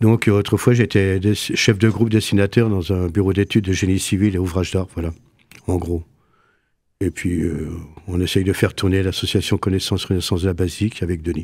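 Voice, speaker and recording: Very deep and low, a man's voice keeps a fairly even intonation. He talks at a fairly quick pace. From Lorraine, France (Saint-Nicolas-de-Port). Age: 70s. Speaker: association vice-president, retiree. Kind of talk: radio interview. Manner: hesitant.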